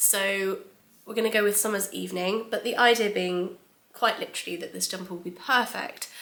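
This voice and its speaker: With a British accent, a woman talks very fast at a medium pitch with fairly even intonation over noticeable background noise. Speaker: knitting podcaster and knitwear designer. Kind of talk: casual chat. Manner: hesitant with frequent ums.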